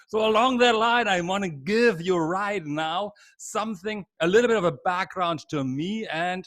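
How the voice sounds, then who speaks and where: A man with a German accent talks at a moderate pace. His intonation is lively. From Germany. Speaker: leadership trainer. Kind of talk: webinar lecture. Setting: video call.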